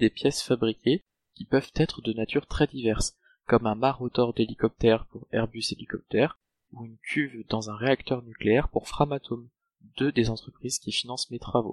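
Dry and close with no echo, a man with an unremarkable speaking voice talks at a moderate pace and medium pitch, his intonation fairly even but his loudness swinging widely. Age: 20s. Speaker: PhD student in mechanical engineering. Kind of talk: scripted narration. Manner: formal.

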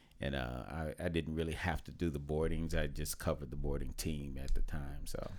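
A man with an American accent speaks fairly quickly, with hardly any pauses. His very deep, low voice carries vocal fry and fairly even intonation. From Oklahoma. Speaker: retired Coast Guard veteran, dealership employee. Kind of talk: casual chat.

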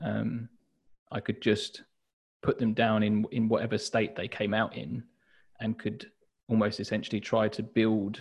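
Speaking with a southern English accent, a man at medium pitch talks at a fairly slow pace with fairly even intonation and vocal fry. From southern England, Hastings. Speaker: journal brand founder and designer. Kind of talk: interview.

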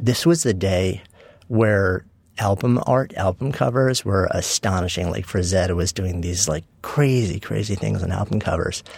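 The speaker has an American accent and vocal fry. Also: man, very deep, low pitch for a man, ordinary pitch variation, fairly slow pace. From New York (Long Island suburb). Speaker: author and entrepreneur. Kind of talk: interview conversation.

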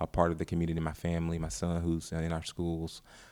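A man with an American accent speaks at a very deep, low pitch. The recording is very clean and the background silent. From North Carolina. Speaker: school superintendent. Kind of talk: interview. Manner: halting, many fillers.

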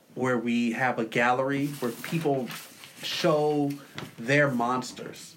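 A normal speaking voice from a man, medium in pitch, with an American accent, fairly even intonation and a fairly slow pace. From San Diego, California. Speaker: hip hop artist and community leader. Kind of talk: interview conversation.

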